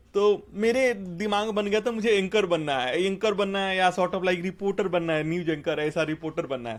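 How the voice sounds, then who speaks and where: A man with a Bihari accent, a high pitch, lively intonation and a moderate pace. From India, Bhojpuri-speaking village (Bihar/eastern UP). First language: Bhojpuri (speaking Hindi). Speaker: software engineer. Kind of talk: interview, life story.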